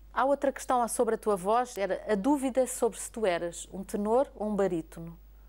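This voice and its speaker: Moderate pace with hardly any pauses, ordinary pitch variation and big swings in loudness. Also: woman. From Portugal. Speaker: TV interviewer. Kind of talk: interview. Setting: opera house. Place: hall. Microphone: lapel.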